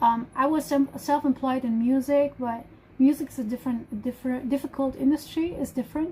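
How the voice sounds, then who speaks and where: A woman with a German accent talks at a fairly quick pace, high in pitch and fairly even in intonation. Noticeable background noise is present. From Germany. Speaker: live streamer. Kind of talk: casual chat. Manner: halting.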